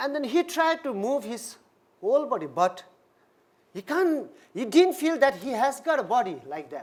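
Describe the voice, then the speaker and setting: Over a very clean recording with a silent background, a man speaks at an extremely high pitch and a moderate pace, with very wide pitch swings, big swings in loudness and long, frequent pauses. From India. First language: not English. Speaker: Buddhist minister. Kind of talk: dharma talk.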